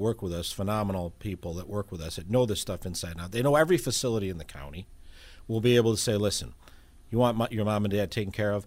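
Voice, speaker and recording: In a very clean recording with a silent background, a man talks in an unremarkable speaking voice pitched fairly low. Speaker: elder law attorney. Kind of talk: radio interview.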